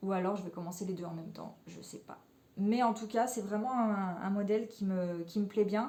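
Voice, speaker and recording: Over noticeable background noise, a woman talks at a medium pitch and moderate pace with fairly even intonation and big swings in loudness. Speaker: knitting podcaster. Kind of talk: casual chat. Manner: hesitant, many fillers.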